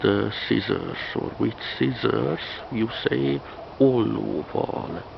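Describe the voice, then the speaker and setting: With a Hungarian accent, a man speaks at a very deep, low pitch, making very wide pitch swings over noticeable background noise. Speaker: language teacher. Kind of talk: tutorial. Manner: halting, many fillers and repetitions.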